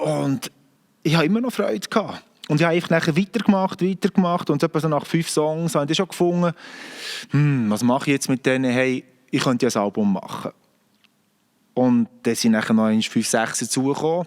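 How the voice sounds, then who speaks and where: A man with a strong Bernese accent and a fairly high pitch talks at a fairly quick pace, with lively intonation and long, frequent pauses. His loudness is very even, and the sound is dry and close with no echo. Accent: broad Bernese Swiss German. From Bern, Switzerland. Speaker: singer-songwriter. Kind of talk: casual monologue to camera.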